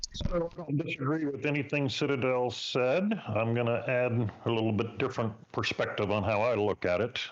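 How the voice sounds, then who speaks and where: Moving at a moderate pace with hardly any pauses, the speaker keeps very even loudness and ordinary pitch variation, with noticeable background noise. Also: man, medium pitch for a man. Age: 60s. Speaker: podcast panelist on investing. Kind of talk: casual panel discussion.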